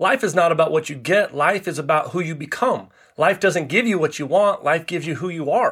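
A high-pitched man at a fairly quick pace with ordinary pitch variation, on a very clean recording with a silent background. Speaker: life coach and speaker. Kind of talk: casual interview chat. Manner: upbeat, energetic.

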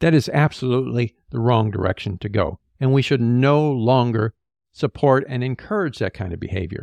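Medium-pitched male speech at a moderate pace with ordinary pitch variation. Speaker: podcast host and higher-education leader. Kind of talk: opinionated commentary, angry rant. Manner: indignant, forceful, pointed; emphatic, repeats words for stress.

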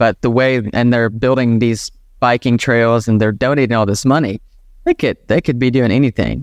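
A plain, everyday voice from a man, medium in pitch, at a moderate pace with fairly even intonation and very even loudness, dry and close with no echo. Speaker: business founder. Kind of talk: interview conversation. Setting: video call.

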